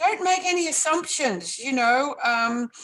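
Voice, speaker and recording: Raising and projecting her voice, a woman with an Australian accent talks at a fairly slow pace, her high pitch making very wide swings. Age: 70s. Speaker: life coach and author. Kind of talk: interview.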